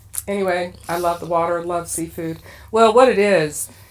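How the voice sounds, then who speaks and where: At a fairly slow pace, a woman talks with a fairly low pitch. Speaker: knitting podcast co-host and yarn dyer. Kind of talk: casual chat.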